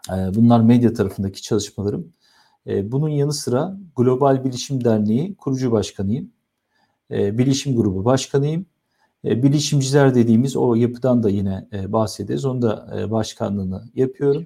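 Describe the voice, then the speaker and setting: A man's dark, mellow tone at medium pitch. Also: ordinary pitch variation, moderate pace. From Turkey, Istanbul. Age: 40s. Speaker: IT association founder and TV presenter. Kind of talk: interview.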